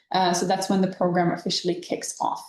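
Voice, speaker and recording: This woman's voice sits at a medium pitch. She talks in a non-native accent. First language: not English. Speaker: webinar co-host, youth programme staff. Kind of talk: informational webinar. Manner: halting.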